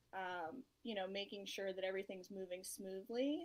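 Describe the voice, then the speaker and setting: A woman with an unremarkable speaking voice talks at a moderate pace, her medium pitch showing ordinary pitch variation. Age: 30s. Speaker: construction project manager. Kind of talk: interview.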